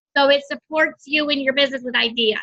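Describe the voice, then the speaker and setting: A woman uses a raised, projected voice, high in pitch, with a bright, sharp tone. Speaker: direct sales team leader. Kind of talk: team training call. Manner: fast.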